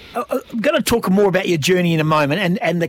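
A man with an Australian accent talks at a very fast pace. His tone is upbeat and cheerful, and his voice is somewhat breathy. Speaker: radio host. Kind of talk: radio DJ patter, bantering and teasing the producer, plugging the show and the text line. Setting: radio studio. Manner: upbeat, jokey, quick-talking with cheerful banter.

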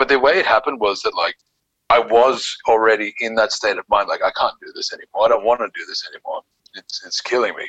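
A man speaks at a very fast pace with big swings in loudness. The sound is dry and close, with no echo. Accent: Australian. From Australia, Sydney (Bondi Beach). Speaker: small business founder. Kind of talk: casual interview.

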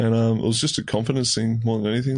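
Against a quiet background, a man speaks with an Australian accent at medium pitch. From Tasmania, Australia. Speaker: professional footballer. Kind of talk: interview.

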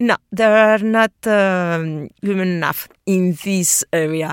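In a Spanish accent, a woman speaks at a medium pitch with ordinary pitch variation. The recording is very clean, with a silent background. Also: dry, close sound with no echo. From Spain. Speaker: geography professor. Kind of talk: interview. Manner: halting, many fillers.

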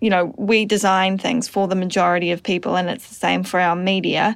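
A woman with a New Zealand accent speaks at a medium pitch with fairly even intonation on a very clean recording with a silent background. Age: 20s. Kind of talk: casual chat. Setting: studio.

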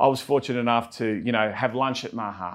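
A man with an Australian accent speaks at a very fast pace in a medium pitch, with ordinary pitch variation and a quiet background. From Australia, Melbourne. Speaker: podcast host, business owner. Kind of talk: casual interview.

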